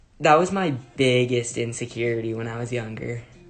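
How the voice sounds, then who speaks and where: A man with a medium pitch speaks in a relaxed tone at a moderate pace, his pitch varying in an ordinary way. Audible room echo and noticeable background noise surround him. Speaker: singer and social media personality. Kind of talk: casual livestream chat. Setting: at home, livestream.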